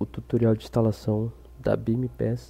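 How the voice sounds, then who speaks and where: This man's medium-pitched voice sounds somewhat breathy and stays monotone, with flat intonation throughout. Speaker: gaming tutorial youtuber. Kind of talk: casual tutorial talk to camera.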